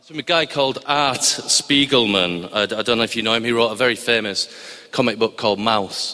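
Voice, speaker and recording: Against noticeable background noise, a man talks at a fairly quick pace with ordinary pitch variation and big swings in loudness. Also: medium pitch for a man. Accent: Cumbrian. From northern England, Barrow-in-Furness, Cumbria. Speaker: TV science documentary editor. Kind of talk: live storytelling to an audience. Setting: stage with audience in a chapel. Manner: hesitant, many fillers and restarts.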